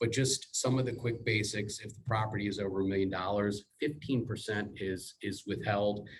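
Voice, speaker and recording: A man with a fairly low pitch speaks at a moderate pace, somewhat breathy and with hardly any pauses. His intonation is fairly even, but his loudness swings widely. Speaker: real estate title team presenter. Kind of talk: team meeting presentation. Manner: soft-spoken.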